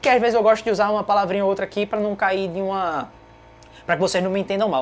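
Her words come out at a very fast pace. The woman's voice is medium in pitch. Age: 20s. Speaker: podcast host. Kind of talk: casual live Q&A. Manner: animated.

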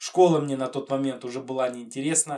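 At a fairly quick pace, a man with an ordinary speaking voice talks at a medium pitch. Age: 30s. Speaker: retro gaming podcaster. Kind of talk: monologue. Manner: casual.

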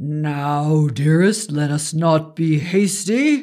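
In a put-on character voice, a man speaks very slowly at a fairly high pitch. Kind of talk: archaic formal speech. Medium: read story. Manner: wry, amused, commanding.

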